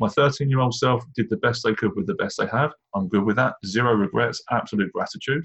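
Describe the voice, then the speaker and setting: A man speaks in a British accent with lively intonation. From England. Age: 40s. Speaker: leadership coach. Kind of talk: interview about life story.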